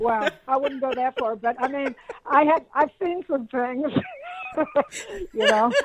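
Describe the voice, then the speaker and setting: A woman with an American accent speaks at a high pitch and a fairly slow pace, with long, frequent pauses. Noticeable background noise is present. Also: ordinary pitch variation, dry, close sound with no echo. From Pittsburgh, Pennsylvania, US. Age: 60s. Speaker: musician. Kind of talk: podcast interview. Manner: casual, with many fillers.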